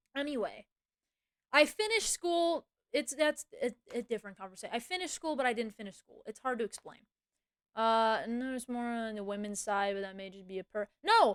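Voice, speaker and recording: Lively intonation and big swings in loudness come at a moderate pace, broken by long, frequent pauses. The sound is dry and close with no echo. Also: woman. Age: 20s. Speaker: streamer. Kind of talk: casual chat. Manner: animated.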